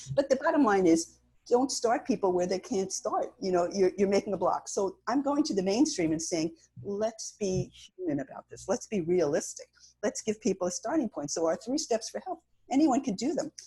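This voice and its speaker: A woman's fairly high, dark, mellow, somewhat breathy voice with very wide pitch swings at a moderate pace. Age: 70s. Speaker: cancer survivor and patient advocate. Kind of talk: interview.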